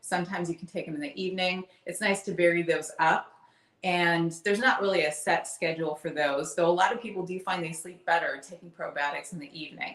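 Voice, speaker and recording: A woman's fairly low voice at a very fast pace, big swings in loudness, and noticeable background noise behind it. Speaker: wellness content creator. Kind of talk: live stream Q&A. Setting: live stream. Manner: projecting.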